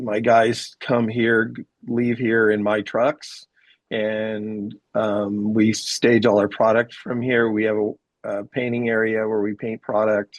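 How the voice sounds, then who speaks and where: A man's medium-pitched, monotone voice at a very slow pace, in a dry, close sound with no echo. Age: 60s. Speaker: deck contractor, business owner. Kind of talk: interview. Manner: hesitant, filler-heavy.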